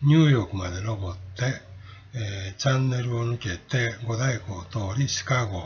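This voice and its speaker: A man speaks in a medium pitch at a moderate pace. His voice is somewhat breathy, with ordinary pitch variation. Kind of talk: travel guide narration.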